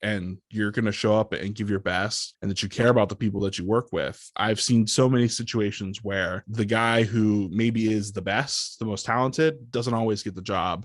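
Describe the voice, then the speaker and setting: A man with an ordinary speaking voice, fairly even intonation and a moderate pace over a quiet background. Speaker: public address announcer for a basketball team. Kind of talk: podcast interview answer. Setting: office with a podcast microphone setup.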